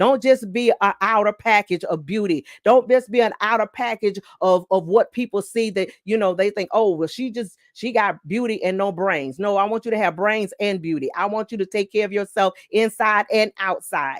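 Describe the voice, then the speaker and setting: In a dry, close sound with no echo, a woman with a normal speaking voice talks at a moderate pace and medium pitch with ordinary pitch variation and hardly any pauses. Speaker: pastor. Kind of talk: sermon.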